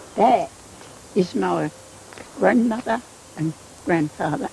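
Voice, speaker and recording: A woman at a fairly slow pace against noticeable background noise. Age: 80s+. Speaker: elderly villager. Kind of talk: interview testimony.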